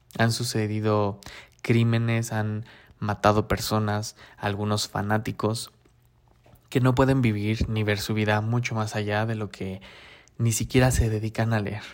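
A man speaking at a fairly slow pace in a flat monotone, with long, frequent pauses, on a very clean recording with a silent background. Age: 30s. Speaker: podcast host. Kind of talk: solo podcast monologue. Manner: hesitant, frequent fillers.

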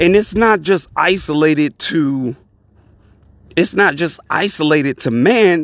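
The delivery is a normal speaking voice, fairly slow, with lively intonation. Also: man, fairly high pitch for a man. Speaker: podcast host. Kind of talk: opinion monologue podcast, rising to an angry rant near 23:50. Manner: worked-up, loud and indignant, blunt and profane; casual, conversational, welcoming.

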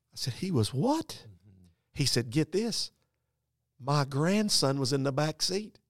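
With a North Carolina accent and lively intonation, a man speaks very slowly in a fairly high pitch, taking long, frequent pauses on a very clean recording with a silent background. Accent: Southern US (North Carolina). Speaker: pastor. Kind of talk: storytelling; casual chat. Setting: conference room.

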